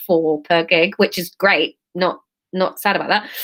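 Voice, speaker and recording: A woman speaks in an English accent with ordinary pitch variation. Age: 30s. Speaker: comedian. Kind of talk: casual live-stream chat.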